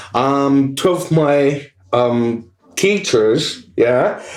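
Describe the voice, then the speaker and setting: A man speaks with an American accent. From US West Coast, Los Angeles. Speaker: guitarist. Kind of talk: casual chat. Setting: pub. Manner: halting, many fillers.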